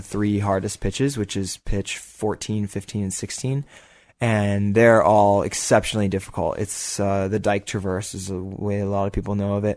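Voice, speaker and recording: Heard in a very clean recording with a silent background, a man with an ordinary speaking voice talks at a moderate pace and a fairly low pitch. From Boulder, Colorado, US. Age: 20s. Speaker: rock climber. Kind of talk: casual interview.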